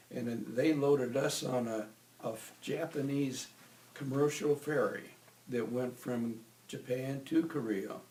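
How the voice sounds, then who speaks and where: There is noticeable background noise behind this man. He talks at a medium pitch with fairly even intonation. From US Midwest, Iowa. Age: 80s+. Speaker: war veteran. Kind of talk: oral history interview.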